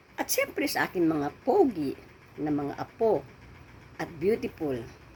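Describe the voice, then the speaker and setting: A woman is speaking. Her pace is very slow. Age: 70s. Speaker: vlogger. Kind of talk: casual chat.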